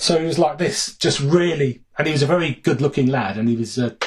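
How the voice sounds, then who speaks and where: A man's fairly high, somewhat breathy voice at a very fast pace, with ordinary pitch variation. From Birmingham, England (Four Oaks). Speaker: music journalist and author. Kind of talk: casual chat.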